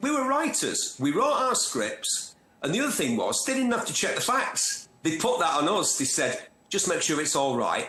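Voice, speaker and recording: There is audible room echo and noticeable background noise as a man with a Manchester accent speaks at a moderate pace, his loudness very even. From northern England, North Manchester. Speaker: motoring TV presenter and journalist. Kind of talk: interview. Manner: animated.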